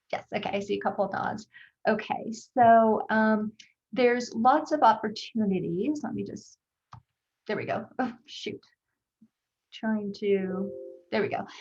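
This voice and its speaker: A somewhat breathy woman with a fairly high pitch and ordinary pitch variation speaks at a fairly slow pace, with big swings in loudness and long, frequent pauses. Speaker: psychiatry research faculty. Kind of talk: presentation on video call.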